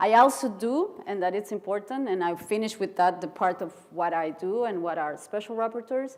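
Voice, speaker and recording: With hardly any pauses, a woman talks in a Costa Rican accent over a silent background in a very clean recording. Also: medium pitch for a woman, ordinary pitch variation, moderate pace. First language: Spanish. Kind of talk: conference keynote speech. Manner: halting.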